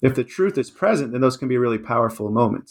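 A man with an ordinary speaking voice at medium pitch, a fairly quick pace and ordinary pitch variation, against a quiet background. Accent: American. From Washington, D.C. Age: 50s. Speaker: author. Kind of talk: interview.

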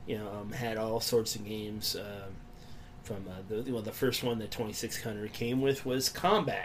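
Through noticeable background noise, a man with a medium-pitched voice speaks at a fairly slow pace with fairly even intonation. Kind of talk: casual chat.

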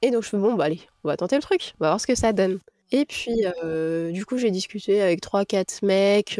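The sound is dry and close with no echo as a woman with a dark, mellow tone speaks at a medium pitch and a moderate pace, with ordinary pitch variation. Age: 30s. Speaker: digital communication freelancer and mother of five. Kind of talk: casual interview, personal testimony. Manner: hesitant, many fillers.

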